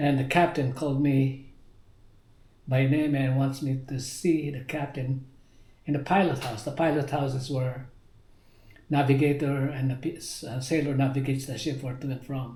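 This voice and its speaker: Somewhat breathy and fairly high in pitch, a man's dark, mellow voice runs in a monotone, flat intonation with long, frequent pauses. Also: moderate pace. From Philippines. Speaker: navy veteran. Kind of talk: interview answer.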